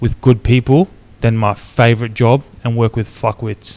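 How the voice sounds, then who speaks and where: With a strong Australian accent, a man talks at a moderate pace and medium pitch, his intonation fairly even and the sound dry and close with no echo. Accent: broad Australian. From North Queensland, Australia. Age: 30s. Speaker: clothing brand founder, reality TV contestant. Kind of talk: casual podcast chat. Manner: casual, slangy with frequent fillers.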